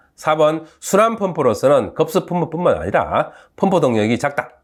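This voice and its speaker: Very wide pitch swings and vocal fry from a man with a fairly high pitch, at a moderate pace, on a very clean recording with a silent background. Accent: Gyeongsang. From South Korea, Gyeongsang (Uljin, North Gyeongsang). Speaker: university professor. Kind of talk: lecture. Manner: casual, halting with fillers.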